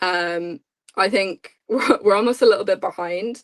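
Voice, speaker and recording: A moderate pace carries the words. They come with an Irish accent. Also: woman. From Ireland. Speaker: podcast co-host. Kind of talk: casual chat.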